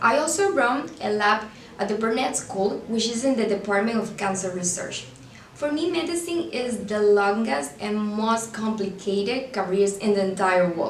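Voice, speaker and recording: A woman's fairly high voice with a Venezuelan accent and lively intonation at a moderate pace, with audible room echo and noticeable background noise. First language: Spanish. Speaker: student portraying future pediatric surgeon. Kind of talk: scripted video monologue.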